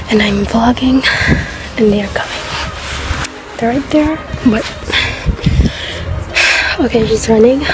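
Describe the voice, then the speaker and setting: Over loud background noise, a woman speaks at a moderate pace with ordinary pitch variation in a dry sound with no echo. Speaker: vlogger. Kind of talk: casual vlog chat. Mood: embarrassed, giggly. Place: street. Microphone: phone near.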